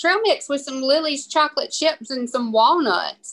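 A woman speaks in a Southern US accent. Her intonation is lively and her pace moderate. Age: 40s. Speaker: podcast co-host. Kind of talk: casual chat.

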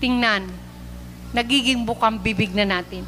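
An animated, warm tone in a raised, projected voice. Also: woman. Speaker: preacher. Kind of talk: sermon, preaching in Taglish to a live church congregation. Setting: church, live recording before a congregation. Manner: earnest and warm, with frequent 'uh' fillers and polite 'po' phrasing; animated, urging and exhorting the congregation.

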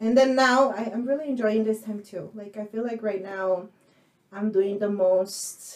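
At a moderate pace, a woman with a medium pitch speaks in fairly even intonation, an unremarkable speaking voice. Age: 30s. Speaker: podcast co-host. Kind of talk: casual bilingual chat.

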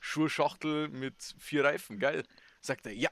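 Recorded dry and close with no echo, a man speaks fairly slowly with a Bavarian accent. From Bavaria, Chiemsee area. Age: 20s. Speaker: podcast co-host, soldier. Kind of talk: casual chat.

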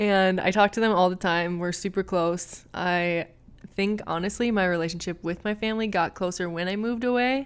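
A woman with an American accent speaks at a medium pitch and moderate pace in an animated tone. The background is quiet. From US Midwest, Minneapolis, Minnesota. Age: 20s. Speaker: podcast host, massage therapist. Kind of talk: personal storytelling monologue. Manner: animated, frequent laughter.

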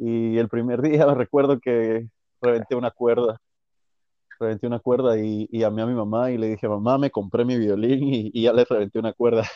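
Here a man talks at medium pitch and a moderate pace. His intonation is monotone and flat. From Guatemala. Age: 20s. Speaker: violinist. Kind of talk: interview. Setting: phone call.

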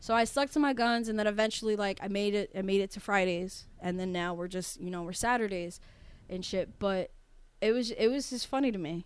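Speaking fairly quickly, a woman uses a normal speaking voice at a medium pitch with ordinary pitch variation. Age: 20s. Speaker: podcast co-host. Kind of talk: casual chat.

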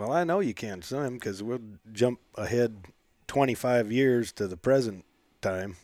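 On a very clean recording with a silent background, a man with an American accent speaks fairly slowly at a medium pitch in a plain, everyday voice. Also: ordinary pitch variation. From Montana, US (Lewistown). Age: 40s. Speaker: rancher, podcast co-host. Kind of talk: casual chat. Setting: at a table in his home.

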